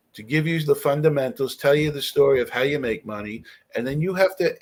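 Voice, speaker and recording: A man speaks in a normal speaking voice at a fairly quick pace. His pitch is fairly high. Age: 60s. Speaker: real estate investor and author. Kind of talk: podcast interview.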